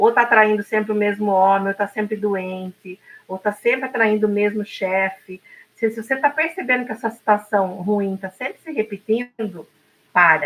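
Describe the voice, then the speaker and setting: A woman with an unremarkable speaking voice talks at a moderate pace, with a medium pitch and ordinary pitch variation. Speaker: podcast co-host. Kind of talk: casual talk show conversation.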